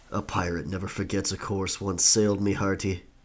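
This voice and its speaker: A man performs a put-on character voice, pitched fairly low. His delivery is fairly quick, with a flat, monotone intonation. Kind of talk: pirate role-play storytelling. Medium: audio drama. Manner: dramatic, gravelly storyteller.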